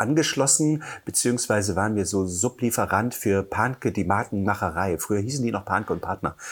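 This man talks at a very fast pace in a fairly low pitch with lively intonation. The recording is very clean, with a silent background. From eastern Germany, Halle an der Saale. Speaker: photographer and blogger. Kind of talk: casual interview chat.

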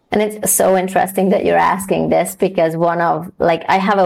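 A woman speaks at a moderate pace with a Hungarian accent. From Hungary. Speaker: DEI consultant and coach. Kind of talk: interview.

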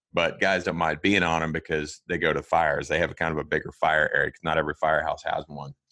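A man's very deep, low voice with a bright, sharp tone and an American accent, very fast with hardly any pauses, monotone and flat, with big swings in loudness and a dry, close sound with no echo. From Kansas, US Midwest. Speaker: firefighter and rescue instructor. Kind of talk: casual interview chat.

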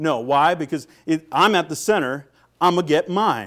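Here a man with an American accent talks at a moderate pace and a fairly high pitch. He has an unremarkable speaking voice, and the recording is very clean with a silent background. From US Pacific Northwest, Seattle. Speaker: pastor. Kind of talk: sermon. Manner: frequent fillers and repetitions.

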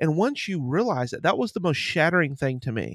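A man with an American accent speaks in a normal speaking voice, fairly high in pitch, with lively intonation at a moderate pace. The recording is very clean with a silent background, and the sound is dry and close with no echo. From Ohio and Pennsylvania. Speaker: podcaster and addiction counselor. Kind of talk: casual chat.

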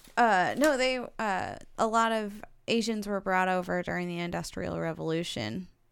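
At medium pitch and a moderate pace, a woman speaks in a plain, everyday voice with ordinary pitch variation. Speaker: co-host. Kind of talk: casual chat.

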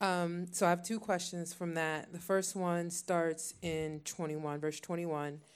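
A woman speaks at a fairly slow pace with hardly any pauses. Hers is a plain, everyday voice, fairly low in pitch. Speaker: congregation member asking question.

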